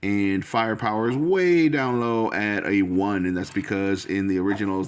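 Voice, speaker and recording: Over noticeable background noise, a man speaks at a fairly low pitch. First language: Spanish. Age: old. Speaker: toy collector video host. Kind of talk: casual toy review vlog. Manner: casual, with many fillers.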